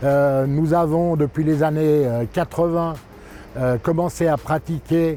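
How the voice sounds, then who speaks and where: Over music in the background, a man with a fairly high voice speaks at a fairly slow pace with fairly even intonation. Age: 60s. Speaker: company director. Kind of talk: interview monologue. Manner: hesitant, many fillers.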